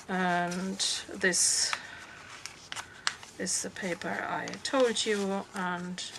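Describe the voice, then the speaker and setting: With a German accent, a woman speaks at a medium pitch and with fairly even intonation over noticeable background noise. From Germany. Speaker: crafter showing her handmade journal. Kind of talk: craft show-and-tell tutorial. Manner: halting, many fillers.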